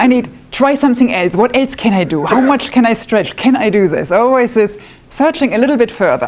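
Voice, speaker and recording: With a German accent, a woman speaks at a high pitch and a moderate pace, her intonation lively. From northwest Germany. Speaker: woodworking club member, demonstrator. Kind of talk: live demonstration talk. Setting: club meeting with live audience. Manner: casual, self-deprecating.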